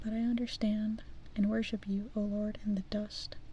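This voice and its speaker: The speaker is soft-spoken. The pace is moderate. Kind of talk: fairy tale reading.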